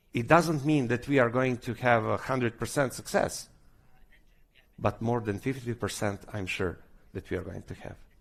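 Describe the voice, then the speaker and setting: A man with a Serbian accent speaks with big swings in loudness on a very clean recording with a silent background. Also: medium pitch for a man, ordinary pitch variation, moderate pace. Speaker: government official. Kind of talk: conference speech. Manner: halting.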